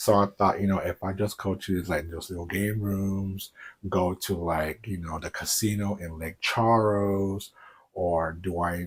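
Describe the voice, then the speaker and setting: A man with an unremarkable speaking voice and an American accent, fairly low in pitch, at a fairly slow pace with fairly even intonation. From US South, Houston, Texas. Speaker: YouTuber. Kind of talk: casual vlog.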